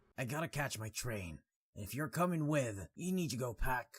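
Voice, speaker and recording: A man puts on a character voice, gruff, raspy and rumbling. His pitch is medium and his pace moderate. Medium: read story. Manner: gruff, blunt, grumbling.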